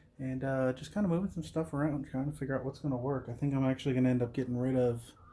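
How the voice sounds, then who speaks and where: Somewhat breathy, a man with an American accent talks at medium pitch with ordinary pitch variation. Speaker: vlogger. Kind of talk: casual vlog talk. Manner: mumbling.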